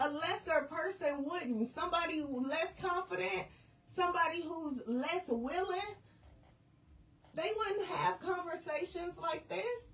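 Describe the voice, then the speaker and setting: A woman talks fairly slowly in an extremely high voice. Her tone is animated and her intonation lively. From US Midwest, St. Louis. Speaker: life and business coach. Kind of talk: live stream talk to viewers. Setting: live video stream. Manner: casual, animated.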